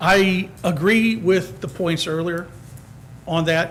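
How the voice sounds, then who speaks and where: A man speaks loudly in a high voice. Noticeable background noise and audible room echo surround him. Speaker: resident applying for committee. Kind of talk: public comment at council meeting. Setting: town council meeting.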